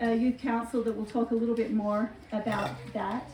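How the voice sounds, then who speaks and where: There is noticeable background noise as a woman speaks at a fairly high pitch in a monotone, flat way. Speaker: homeschool group leader. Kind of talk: informational talk at a community meeting. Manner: hesitant, many filler words.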